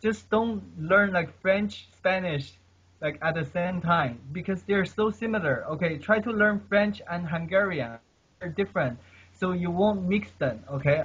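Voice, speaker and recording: A man with a non-native accent, high in pitch, with ordinary pitch variation at a moderate pace. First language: not English. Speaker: polyglot, language learner. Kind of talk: casual chat. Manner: halting.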